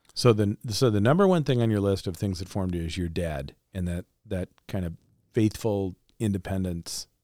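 Recorded very cleanly against a silent background, with a dry, close sound with no echo, a man speaks in a normal speaking voice at a fairly low pitch, a moderate pace and ordinary pitch variation. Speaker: pastor, podcast host. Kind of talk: interview.

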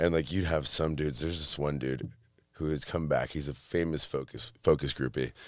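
A man speaks at a fairly quick pace with an American accent. His pitch is very deep and low, and his intonation stays fairly even. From Michigan, US (Monroe, near Detroit). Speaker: entrepreneur and art gallery owner. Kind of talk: casual chat.

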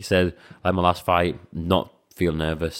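On a very clean recording with a silent background, a man with a Scouse accent talks at a fairly quick pace in a monotone, flat intonation. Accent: Scouse-tinged English. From Latvia, raised in England (Liverpool area). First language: Latvian. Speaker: professional kickboxer and coach. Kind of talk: casual chat.

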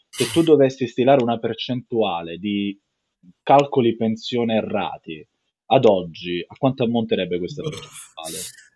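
This man's voice has a dark, mellow tone and lively intonation. His loudness swings widely. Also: medium pitch for a man, moderate pace. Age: young. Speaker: podcast host and company founder. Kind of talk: interview.

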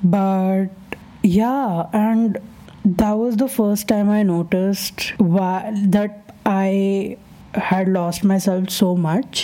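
Over noticeable background noise, a woman talks at a very slow pace with a medium pitch. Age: 20s. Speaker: podcast host. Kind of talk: casual monologue. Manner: animated.

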